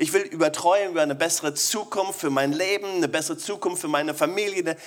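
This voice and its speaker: Over noticeable background noise, a man talks at a fairly quick pace in a high pitch, with an animated tone and lively intonation. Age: 40s. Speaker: pastor. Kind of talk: sermon.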